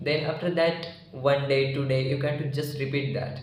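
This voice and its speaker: A man with an Indian accent and fairly high pitch speaks at a moderate pace in monotone, flat intonation, with audible room echo and noticeable background noise. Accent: Indian (Marathi) English. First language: Marathi. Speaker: English learning YouTuber. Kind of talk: informal tutorial talk. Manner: halting, with many fillers.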